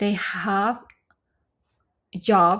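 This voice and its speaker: A woman talks at a medium pitch. The recording is very clean, with a silent background. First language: Vietnamese. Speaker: scholarship recipient. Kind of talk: casual tutorial talk to camera.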